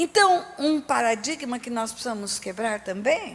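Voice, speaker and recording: A woman's high voice moves through very wide pitch swings at a fairly slow speed. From Brazil, Resende (Rio de Janeiro state). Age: 60s. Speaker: pastor. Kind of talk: sermon.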